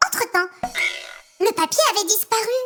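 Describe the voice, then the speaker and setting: In a put-on character voice, a female-sounding speaker squeaks at an extremely high pitch and a moderate pace. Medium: read story. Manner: chatty, offhand.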